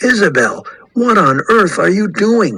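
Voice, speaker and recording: Using a put-on character voice, a man speaks fairly slowly in a high pitch with lively intonation. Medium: read story.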